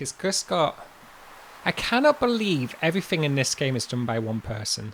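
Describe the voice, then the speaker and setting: A man speaks with a Yorkshire accent in a fairly high voice. His pitch swings very widely. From Yorkshire, northern England. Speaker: livestreamer. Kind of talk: casual chat. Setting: livestream.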